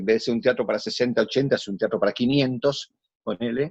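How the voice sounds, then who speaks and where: A man speaks at a medium pitch with a Rioplatense accent. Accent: Argentine Rioplatense Spanish. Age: 60s. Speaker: actor. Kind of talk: interview conversation.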